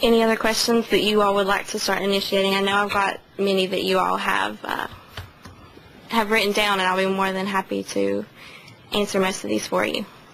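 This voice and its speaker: Amid noticeable background noise and audible room echo, a woman with an American accent talks fairly quickly at a medium pitch in a flat monotone. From western North Carolina, Haywood County. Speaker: widow speaking to the press. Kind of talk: press conference statement and answers.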